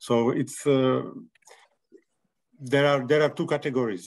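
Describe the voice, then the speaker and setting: With a Slovak accent, a man talks at a moderate pace with ordinary pitch variation. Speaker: clinic representative. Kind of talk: video call presentation. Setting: video call. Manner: halting.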